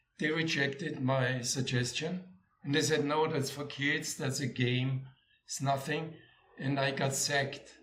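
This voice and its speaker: With an Austrian accent, a man speaks at a fairly slow pace in a fairly high pitch. His intonation is monotone and flat, and there is audible room echo. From Austria, Vienna. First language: German. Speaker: former corporate sales executive. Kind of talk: interview. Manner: halting, with frequent repetitions.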